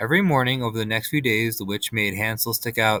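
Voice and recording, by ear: The clip is someone reading aloud. It comes across in a natural voice.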